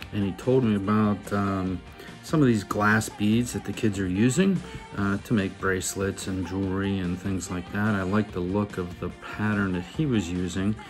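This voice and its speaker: A man with an American accent in a relaxed tone, fairly low in pitch, with ordinary pitch variation and a moderate pace over music in the background. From Pittsburgh, Pennsylvania. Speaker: fly tyer. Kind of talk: fly tying tutorial. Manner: casual, relaxed.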